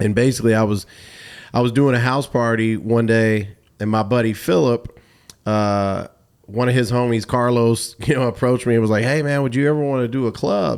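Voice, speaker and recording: A man with an American accent talks fairly quickly at medium pitch. His intonation is fairly even and his loudness very even. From US South, Atlanta. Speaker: DJ and radio host. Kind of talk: casual interview. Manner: halting, repetitive starts.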